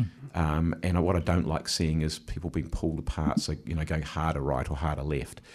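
Talking at a very fast pace with hardly any pauses, a man with a New Zealand accent uses a very deep, low pitch, fairly even intonation and vocal fry. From New Zealand, Wellington. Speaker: mayor and election candidate. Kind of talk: radio interview. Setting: radio studio.

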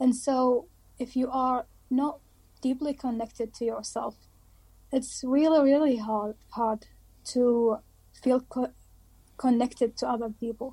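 A woman's high-pitched, monotone voice with an Arabic accent, at a fairly slow pace with long, frequent pauses, in a very clean recording with a silent background. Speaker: dentistry student. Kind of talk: interview.

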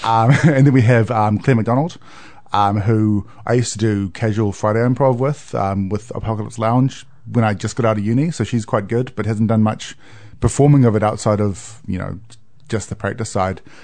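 A man has a plain, everyday voice with a fairly low pitch. He talks at a moderate pace with fairly even intonation. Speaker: improv performer. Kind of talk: casual chat. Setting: studio. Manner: joking, playful.

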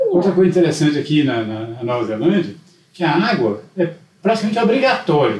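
A man talks at a fairly quick pace with a fairly high pitch and very wide pitch swings, over noticeable background noise and audible room echo. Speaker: visiting grandfather. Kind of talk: casual chat.

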